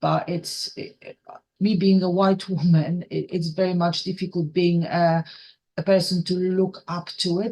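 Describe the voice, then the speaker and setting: A woman's fairly low, dark, mellow voice, somewhat breathy, with monotone, flat intonation and a fairly slow pace. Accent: Polish. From Poland. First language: Polish. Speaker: rail operations trainer. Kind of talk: podcast interview. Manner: halting, many repetitions.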